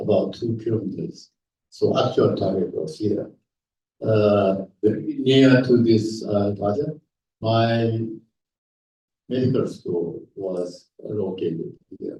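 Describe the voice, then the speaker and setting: Very slow and marked by long, frequent pauses, a man speaks at medium pitch in a dark, mellow, somewhat breathy tone with ordinary pitch variation. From Japan (Nagasaki). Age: 80s+. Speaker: atomic bomb survivor and speaker. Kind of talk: lecture with slides. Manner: halting, many fillers.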